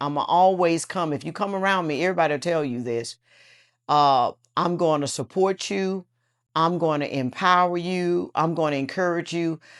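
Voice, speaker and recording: It is a plain, everyday voice with ordinary pitch variation, at a moderate pace. The recording is very clean, with a silent background. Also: woman, fairly low pitch for a woman. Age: 60s. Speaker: businesswoman. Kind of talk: interview answer.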